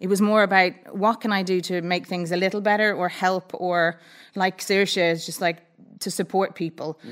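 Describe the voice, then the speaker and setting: A plain, everyday voice from a woman, medium in pitch, at a fairly quick pace with fairly even intonation. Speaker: former rugby executive turned rural smallholder. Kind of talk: casual chat. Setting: studio with audience.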